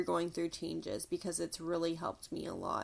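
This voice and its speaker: A woman is heard on a very clean recording against a silent background. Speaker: podcast host. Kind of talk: casual talk-along cleaning podcast. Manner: chatty, filler-heavy.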